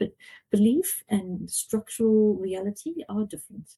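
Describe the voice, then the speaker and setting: A woman speaks with a South African accent and ordinary pitch variation. Her tone is dark and mellow, somewhat breathy. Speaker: fintech board member. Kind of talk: podcast interview.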